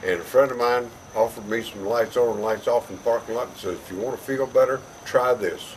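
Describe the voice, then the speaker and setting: Over noticeable background noise, a man talks at a fairly quick pace and a medium pitch with fairly even intonation. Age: 70s. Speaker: customer giving a product testimonial. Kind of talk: testimony. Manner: halting, with frequent fillers.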